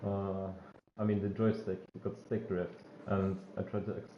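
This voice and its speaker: A man with a non-native accent speaks at a moderate pace, with audible room echo. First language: not English. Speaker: gaming streamer. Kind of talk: live gameplay commentary. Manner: halting, many fillers.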